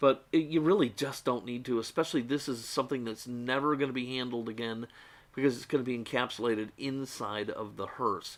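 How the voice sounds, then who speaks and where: A man talks at a fairly quick pace, keeping his intonation fairly even. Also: medium pitch for a man. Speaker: diecast model customizer. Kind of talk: tutorial. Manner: fast.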